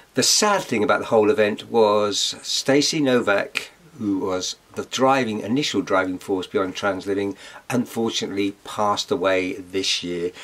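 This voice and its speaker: Noticeable background noise accompanies a man with an English accent. He speaks at a moderate pace with ordinary pitch variation. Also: fairly low pitch for a man. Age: 60s. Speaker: vlogger. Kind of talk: casual vlog talk.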